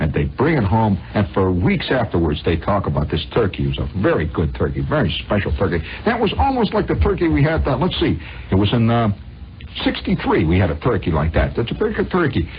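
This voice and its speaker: Over music in the background, a man with a fairly low pitch talks at a fairly quick pace, his pitch swinging very widely while his loudness stays very even. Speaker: radio monologist. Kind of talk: radio storytelling monologue. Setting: old radio broadcast recording. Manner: conversational, rambling.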